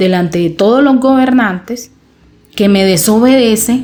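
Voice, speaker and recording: This woman talks at a fairly slow pace in an animated tone, her pitch varying in an ordinary way. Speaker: Bible teacher. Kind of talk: informal Bible teaching.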